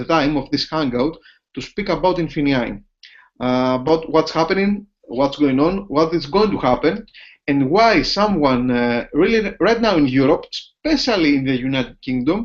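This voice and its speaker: A man with a Greek accent speaks at a moderate pace, his fairly high voice rising and falling with lively intonation. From Greece. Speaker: business opportunity presenter. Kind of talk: sales pitch. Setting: online video hangout from home office. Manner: halting.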